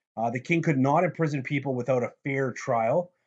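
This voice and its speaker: A man's speech has ordinary pitch variation over a quiet background. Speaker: teacher. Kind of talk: lecture. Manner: fast; casual.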